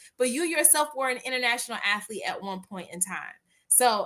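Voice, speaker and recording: Here is a woman in an American accent with a bright, sharp tone. She sounds energetic and keeps a moderate pace. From US South. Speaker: podcast host and attorney. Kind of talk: podcast interview.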